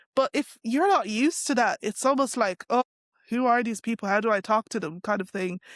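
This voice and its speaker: At a fairly quick pace, a woman with a fairly high voice speaks against a quiet background, the sound dry and close with no echo. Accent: Dublin. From Ireland, Dublin. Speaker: interviewee on race and culture. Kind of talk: interview. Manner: casual, many fillers.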